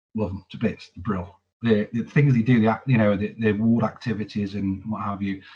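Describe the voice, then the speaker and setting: Here a man talks at a moderate pace. His voice is fairly low in pitch and somewhat breathy. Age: 40s. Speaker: army veteran. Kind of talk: testimony. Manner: halting, frequent repetitions.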